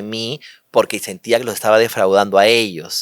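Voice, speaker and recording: A man speaks at medium pitch in a monotone, flat delivery on a very clean recording with a silent background and a dry, close sound with no echo. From Peru, Lima. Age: 50s. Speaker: interview guest. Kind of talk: personal testimony interview. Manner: halting, repeats words.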